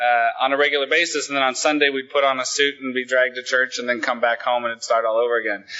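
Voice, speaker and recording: A man with an American accent speaks at a fairly quick pace in an ordinary speaking voice, his medium pitch carried by fairly even intonation. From Oregon, Willamette Valley. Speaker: main speaker at recovery conference. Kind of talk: recovery testimony talk.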